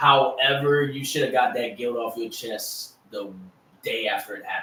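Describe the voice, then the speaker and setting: Man with a Southern accent at a moderate pace, big swings in loudness, and audible room echo. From US South, Louisiana Cajun. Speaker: sports podcast host. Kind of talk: casual chat. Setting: live stream.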